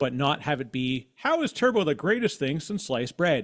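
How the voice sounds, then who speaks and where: A man with a Canadian accent is heard in a very clean recording with a silent background. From Canada. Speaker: podcast host and tech marketer. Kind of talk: interview conversation. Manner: sounds like a broadcaster.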